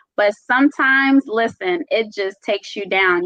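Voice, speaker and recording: A woman with a slight Caribbean accent speaks in a fairly high, animated voice. Her intonation is lively and her pace moderate. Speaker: self-love and self-care speaker. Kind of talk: casual chat.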